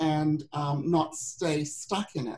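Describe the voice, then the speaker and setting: Somewhat breathy, a woman's voice unfolds at a very slow pace. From Britain. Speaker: women's business coach. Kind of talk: webinar presentation. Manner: halting, many fillers.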